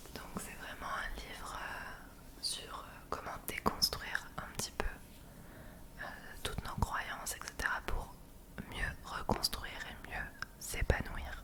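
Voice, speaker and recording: A woman whispers at a very slow pace. Her loudness swings widely, and there is noticeable background noise. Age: 20s. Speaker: ASMR creator. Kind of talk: ASMR monthly favourites talk. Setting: home webcam recording. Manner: whispered.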